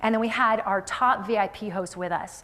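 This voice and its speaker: A woman speaks in an energetic tone. Her pitch is fairly high. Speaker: motivational keynote speaker. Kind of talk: live keynote speech to audience. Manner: highly energetic.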